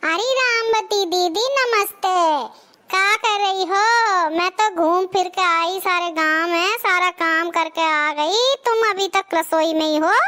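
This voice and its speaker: Squeaky and extremely high, a woman's cartoonish character voice moves at a moderate pace with ordinary pitch variation and very even loudness. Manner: chatty, gossipy.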